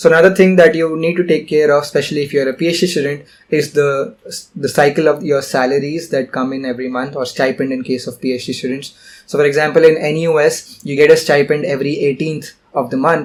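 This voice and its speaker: A man talks at a very fast pace in a fairly high pitch. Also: fairly even intonation. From India. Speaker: PhD student vlogger. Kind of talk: casual tutorial vlog. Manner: casual, with frequent fillers.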